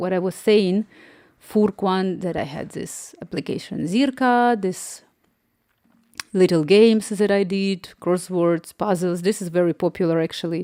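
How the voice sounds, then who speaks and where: A woman with a dark, mellow tone speaks at a fairly slow pace and medium pitch, with ordinary pitch variation. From Ukraine. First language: Ukrainian or another Slavic language. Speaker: app developer and live streamer. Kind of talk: casual live stream chat. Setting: live stream.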